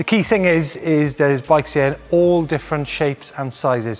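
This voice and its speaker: Faint music plays behind a voice moving at a moderate pace with ordinary pitch variation. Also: man. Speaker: presenter. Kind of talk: presenting walkthrough to camera. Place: shop. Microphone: lapel.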